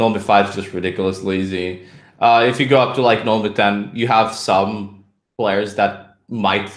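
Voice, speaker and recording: A man with a Romanian accent at a fairly low pitch, with audible room echo. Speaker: poker player and coach. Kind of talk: podcast interview.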